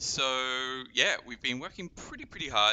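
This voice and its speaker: A man with an Australian accent, his voice at medium pitch. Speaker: game community manager. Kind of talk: live stream gameplay and Q&A. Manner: casual, filler-heavy.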